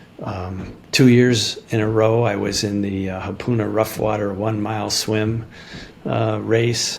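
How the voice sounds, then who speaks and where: Against noticeable background noise, a man with an American accent speaks at a fairly slow pace and a fairly low pitch. His intonation is monotone and flat. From Chicago, US Midwest. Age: 70s. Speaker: retired dentist turned farmer. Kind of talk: interview. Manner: halting, many fillers.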